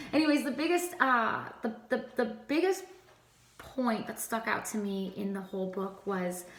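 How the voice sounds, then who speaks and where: Amid noticeable background noise and audible room echo, a woman speaks at a fairly high pitch with very wide pitch swings. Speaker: co-host and worship singer. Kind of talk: vlog encouragement talk. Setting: just after studio taping. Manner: occasional stutter, trips over words; casual, many fillers.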